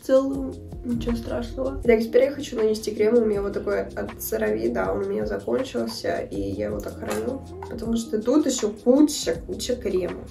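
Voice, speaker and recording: Over music in the background and audible room echo, a woman speaks at a fairly quick pace. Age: 20s. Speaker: beauty vlogger. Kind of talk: makeup tutorial. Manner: casual.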